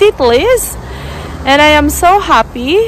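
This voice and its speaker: A woman speaks at a very slow pace in a high pitch, with a dry sound with no echo and light background noise. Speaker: travel vlogger. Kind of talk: casual vlog chat. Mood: happy, excited. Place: street. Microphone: phone near.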